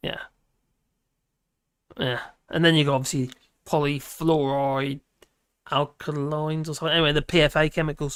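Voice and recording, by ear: Little pitch movement and a clear, smooth tone mark this moderate-paced delivery, broken by long, frequent pauses.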